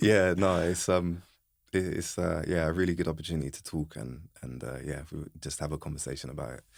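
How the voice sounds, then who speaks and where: A very deep, low male voice with an English accent, fairly quick, with vocal fry, ordinary pitch variation and big swings in loudness, in a very clean recording over a silent background. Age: 30s. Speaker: podcast host, motorsport engineering consultant. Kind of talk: podcast interview.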